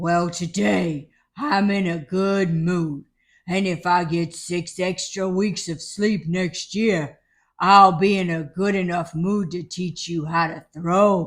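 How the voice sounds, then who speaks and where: A man uses a high, put-on character voice at a fairly slow pace. The recording is very clean, with a silent background. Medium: read story.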